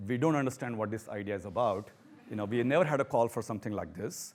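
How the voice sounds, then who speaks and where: Recorded very cleanly against a silent background, a man with a strong Indian accent speaks at a medium pitch with ordinary pitch variation. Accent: thick Indian. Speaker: professor. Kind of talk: talk to an audience.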